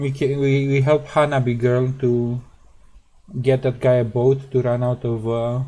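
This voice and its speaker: A soft-spoken man with a medium pitch, dark, mellow tone, monotone, flat intonation and a moderate pace. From central Europe. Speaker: game streamer. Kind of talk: casual gameplay commentary. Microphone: too quiet relative to game sound.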